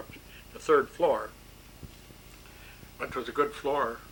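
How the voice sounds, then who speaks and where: A man with a Michigan accent. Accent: Michigan, Upper Midwest US. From Bay City, Michigan. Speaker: World War II era draftee. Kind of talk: oral history interview answer.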